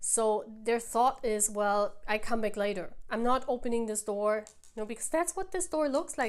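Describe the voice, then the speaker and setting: With a non-native accent, a woman talks in an animated tone, her fairly high pitch carried by lively intonation. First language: not English. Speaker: tarot reader. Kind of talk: tarot reading to camera. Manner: halting.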